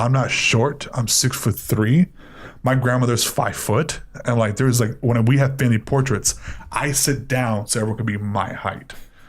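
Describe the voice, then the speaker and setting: At a moderate pace, a somewhat breathy man speaks at a medium pitch with fairly even intonation. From Miami, Florida (Cuban-American). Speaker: panel guest. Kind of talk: casual chat.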